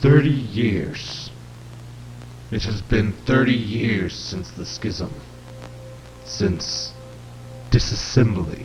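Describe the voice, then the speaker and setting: A man does a put-on character voice that growls and sounds robotic, fairly low in pitch, at a very slow pace with long, frequent pauses, big swings in loudness, and clear background noise behind him. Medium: read story. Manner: solemn, preacherly.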